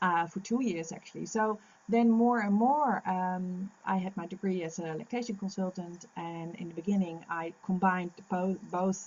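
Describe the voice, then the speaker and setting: A woman speaks at a moderate pace with hardly any pauses. Her somewhat breathy voice sits at medium pitch with ordinary variation. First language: Dutch. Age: 50s. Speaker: lactation consultant. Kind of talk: interview. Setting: podcast recording. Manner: halting.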